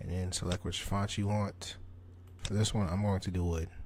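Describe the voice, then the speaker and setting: Somewhat breathy, a man with a very deep, low pitch talks at a fairly slow pace. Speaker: tutorial creator. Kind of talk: tutorial. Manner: casual.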